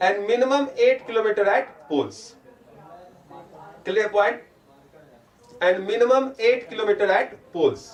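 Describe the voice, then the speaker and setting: A man with an Indian accent speaks at a high pitch and moderate pace, with very even loudness. There are long, frequent pauses and noticeable background noise. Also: ordinary pitch variation. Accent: Indian English, Hindi-speaking. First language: Hindi. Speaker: teacher. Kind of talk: online lecture. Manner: mixes Hindi and English.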